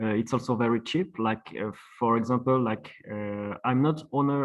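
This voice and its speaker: Speaking with a French accent, a man of medium pitch goes at a fairly slow pace. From France. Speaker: traditional plasterer. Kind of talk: webinar presentation. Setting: online webinar. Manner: halting, many fillers.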